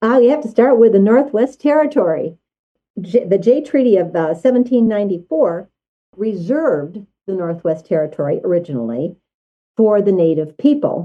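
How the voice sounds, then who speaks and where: A woman's medium-pitched voice with very wide pitch swings at a moderate pace. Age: 80s+. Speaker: historical society board member. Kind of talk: interview.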